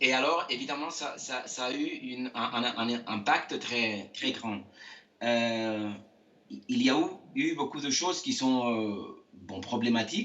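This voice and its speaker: A man's very slow speech with audible room echo and noticeable background noise. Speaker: architect. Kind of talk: interview. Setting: video call from home. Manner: halting, many hesitations.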